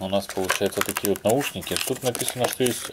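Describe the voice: Against faint background noise, a man speaks at a moderate pace in a fairly bright tone.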